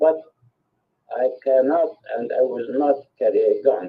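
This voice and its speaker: Very slow speech in an Arabic accent. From Palestine. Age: 80s+. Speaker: peace activist. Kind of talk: testimony.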